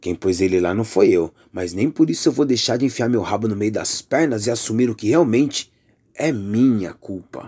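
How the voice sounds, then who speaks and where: In a Brazilian accent, a man speaks at a moderate pace with medium pitch, a dark, mellow tone, an intense tone and lively intonation. The recording is very clean, with a silent background. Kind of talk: spoken word poetry, political and accusatory. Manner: intense, indignant, declamatory with pointed emphasis.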